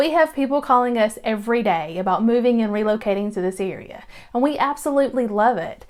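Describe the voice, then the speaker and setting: A woman at a very fast pace, lively intonation, noticeable background noise behind her. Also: fairly high pitch for a woman. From Georgia, US South. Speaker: real estate agent. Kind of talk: casual vlog talk to camera. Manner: chatty, casual with filler words.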